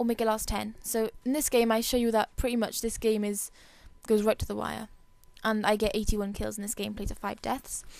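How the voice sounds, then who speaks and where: A woman speaks at a fairly high pitch. Her intonation is monotone and flat. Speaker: gamer. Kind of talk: gameplay commentary tutorial. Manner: fast, rushed.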